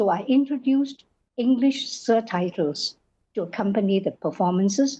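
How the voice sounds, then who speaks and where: With a dark, mellow tone and a fairly high pitch, a woman speaks in a somewhat breathy voice with lively intonation. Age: 80s+. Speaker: Chinese opera performer and teacher. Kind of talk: interview.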